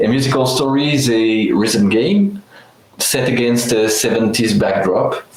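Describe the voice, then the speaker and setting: A man with a French accent talks at a fairly slow pace, at a medium pitch with ordinary variation and very even loudness. Noticeable background noise and audible room echo are present. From France. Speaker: game designer and composer. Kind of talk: product presentation.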